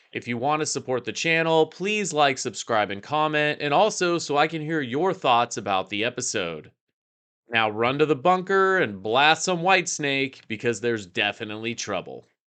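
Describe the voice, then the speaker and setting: With a bright, sharp tone and very wide pitch swings, a man talks at a moderate pace and fairly high pitch over a quiet background. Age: middle-aged. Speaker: TV show reviewer. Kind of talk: scripted commentary.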